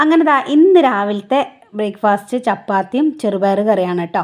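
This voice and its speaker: A woman's fairly high voice, an ordinary speaking voice, its pitch varying in an ordinary way. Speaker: vlogger. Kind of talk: vlog narration. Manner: casual, chatty.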